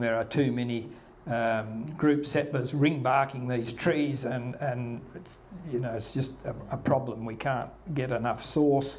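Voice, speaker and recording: A man speaks fairly slowly with an Australian accent at a medium pitch. His intonation is monotone and flat, and the room echoes audibly. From Western Australia, Margaret River. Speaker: local historian speaker. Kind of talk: talk to local audience. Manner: halting.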